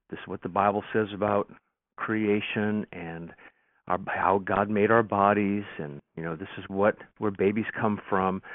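With an American accent, the speaker uses a normal speaking voice at a fairly slow pace, with big swings in loudness. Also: man, fairly low pitch for a man, fairly even intonation. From Nebraska, US Midwest. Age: 60s. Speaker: pastor and radio host. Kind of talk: casual interview chat.

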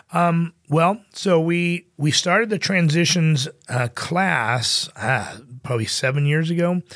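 In an American accent, a man speaks at a very slow pace in a high pitch, with ordinary pitch variation and very even loudness. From Southern California, Inland Empire. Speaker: pastor. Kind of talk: interview conversation. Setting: studio. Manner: hesitant, many fillers.

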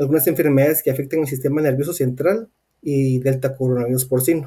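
Somewhat breathy, a man with a Guatemalan accent speaks at a fairly high pitch in a dark, mellow tone with fairly even intonation. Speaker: swine veterinarian and researcher. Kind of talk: interview.

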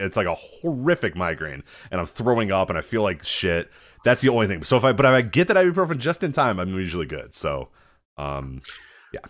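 Against a quiet background, a man talks at a medium pitch with vocal fry and very wide pitch swings. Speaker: wrestling podcast host. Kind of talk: casual chat. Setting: live stream with chat room.

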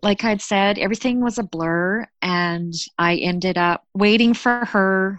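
A woman with a Canadian accent uses a normal speaking voice at medium pitch with ordinary pitch variation, the sound dry and close with no echo against a quiet background. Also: fairly slow pace, very even loudness. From Canada. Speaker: storyteller sharing a personal mental health story. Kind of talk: personal testimony.

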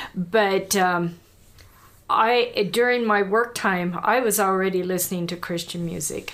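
A woman talks in a normal speaking voice at a medium pitch. Her pace is fairly slow and her intonation fairly even. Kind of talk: casual interview testimony.

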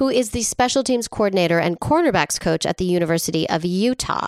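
A woman with a normal speaking voice, medium pitch and lively intonation at a moderate pace, in a dry, close sound with no echo. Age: 40s. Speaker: podcast co-host. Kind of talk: casual comedic chat and storytelling. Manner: frequent laughter, lots of fillers.

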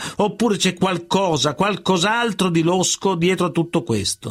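A man with a high pitch at a moderate pace, on a very clean recording with a silent background. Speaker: narrator. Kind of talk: true-crime narration. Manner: measured, serious, dramatic storytelling.

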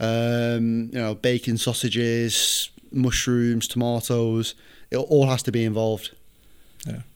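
A man with a northern English accent and medium pitch speaks at a fairly slow pace with monotone, flat intonation. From northern England, near Manchester. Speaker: football coach. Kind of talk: casual chat. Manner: halting.

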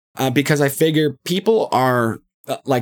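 Vocal fry marks this man's voice as he speaks at a moderate pace. The recording is very clean, with a silent background. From Canada. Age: 30s. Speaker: podcast host. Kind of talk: casual monologue rant. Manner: halting, many fillers.

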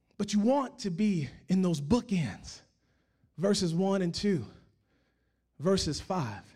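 Audible room echo surrounds a man speaking at a very slow pace with long, frequent pauses. His voice is high in pitch, with lively intonation. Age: 40s. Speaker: pastor. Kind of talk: sermon.

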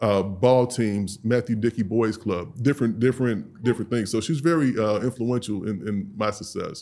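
A man's normal speaking voice at medium pitch and a moderate pace, with fairly even intonation, in a very clean recording with a silent background. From St. Louis, Missouri, US Midwest. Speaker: grooming products business owner. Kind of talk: casual interview.

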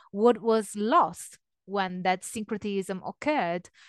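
Over a quiet background, a woman with an Italian accent speaks at medium pitch and a fairly slow pace, with ordinary pitch variation and a dry, close sound with no echo. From Italy. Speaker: religious studies scholar. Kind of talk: interview conversation.

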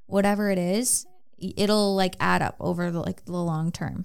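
A woman speaks in a normal speaking voice at a moderate pace, her medium pitch and fairly even intonation carrying an American accent. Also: very clean recording, silent background. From Minnesota, US Midwest. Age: 20s. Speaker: online fitness coach. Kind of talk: casual chat. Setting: studio.

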